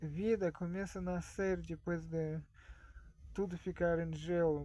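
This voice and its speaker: Someone speaks at a very slow pace in a Russian accent. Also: man. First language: Russian (speaking Portuguese). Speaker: vlogger. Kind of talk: casual monologue. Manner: halting.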